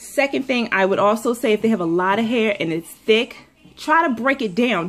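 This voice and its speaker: Noticeable background noise runs under the recording. A woman talks over it at a fairly quick pace. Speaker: beauty vlogger, mother giving hair tips. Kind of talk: casual tutorial vlog. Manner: fast; chatty with many fillers.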